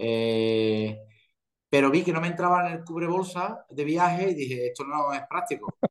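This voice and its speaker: The speech comes at a fairly slow pace, carried by lively intonation. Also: man, fairly high pitch for a man. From Spain. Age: 40s. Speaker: professional golfer. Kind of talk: interview.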